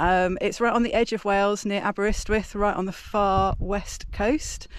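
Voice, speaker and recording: In an English accent, a woman speaks at medium pitch with monotone, flat intonation. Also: moderate pace. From England. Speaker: mountain bike vlogger. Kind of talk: casual vlog narration. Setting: outdoors on mountain bike trails. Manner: casual, hesitant with fillers.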